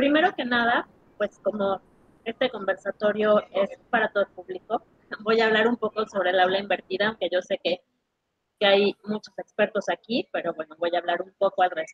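A woman's medium-pitched voice with a slightly husky edge, ordinary pitch variation and a fairly quick pace. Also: dry, close sound with no echo.

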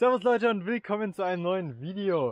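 Over light background noise, a man speaks at a fairly quick pace in a high pitch, with ordinary pitch variation and a dry sound with no echo. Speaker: cycling vlogger. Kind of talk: casual vlog chat. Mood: cheerful, laughing. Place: street. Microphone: phone near.

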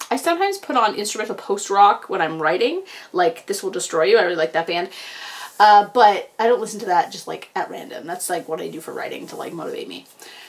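Talking at a very fast pace, a woman uses lively intonation and big swings in loudness. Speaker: book vlogger. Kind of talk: casual vlog chat. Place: home room. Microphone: webcam.

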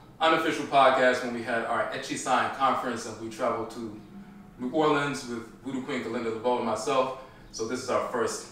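A man talks at a fairly quick clip with fairly even intonation, his voice carrying strong room echo over light background noise. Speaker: podcast host. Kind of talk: podcast introduction. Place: home room.

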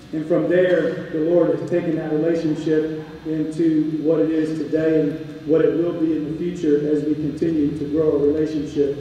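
A man at a moderate pace with fairly high pitch, monotone, flat intonation and hardly any pauses, in strong room echo. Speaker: campus ministry chaplain. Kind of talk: ministry update speech. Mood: warm, faith-focused. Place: hall.

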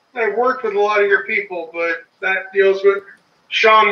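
Loud and fairly quick, a man with a high pitch speaks in fairly even intonation amid audible room echo. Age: 40s. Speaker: homesteader. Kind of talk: casual chat. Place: home room. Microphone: phone held too close; phone near.

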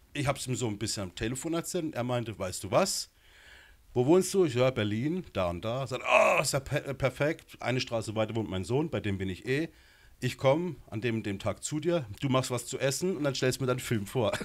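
Against a quiet background, a man talks at a fairly quick pace. His intonation is lively. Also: medium pitch for a man. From Baden, southwest Germany (Gernsbach); Baden, Germany. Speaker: film director and screenwriter; interview guest. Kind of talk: interview. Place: studio. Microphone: handheld.

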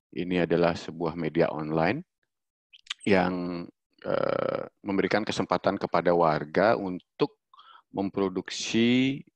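A man with a very deep, low pitch talks at a very slow pace with ordinary pitch variation, the sound dry with no echo and the background quiet. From Bali. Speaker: freelance designer and social media specialist. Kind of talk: online workshop presentation. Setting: video call. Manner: hesitant, many filler sounds. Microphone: video call.

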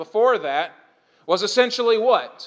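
A man speaks loudly in a high pitch, his tone bright and sharp. His pace is moderate, with ordinary pitch variation. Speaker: pastor. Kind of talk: sermon.

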